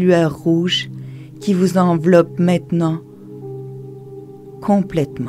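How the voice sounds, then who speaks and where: With music in the background, a woman speaks very slowly in a calm tone, fairly low in pitch and fairly even in intonation. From Quebec. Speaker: meditation guide. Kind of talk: guided meditation. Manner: slow, calm.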